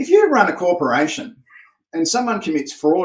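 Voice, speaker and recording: This man has an Australian accent and a moderate pace. His pitch swings very widely. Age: 60s. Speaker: private investigator and trainer. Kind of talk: interview answers, explanatory monologue.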